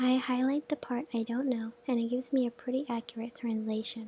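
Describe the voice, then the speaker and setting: Soft-spoken and gentle in tone, a woman talks at a moderate pace in a high pitch with monotone, flat intonation. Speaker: language learner studying Japanese. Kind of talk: softly spoken ASMR study-with-me narration. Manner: soft-spoken, gentle.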